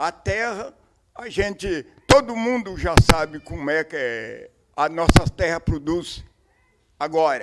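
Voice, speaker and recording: At high pitch and a very slow pace, a man's voice makes very wide pitch swings and big swings in loudness, with long, frequent pauses. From southern Brazil, Três Forquilhas, Rio Grande do Sul. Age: 70s. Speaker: farmer. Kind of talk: testimony. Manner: halting.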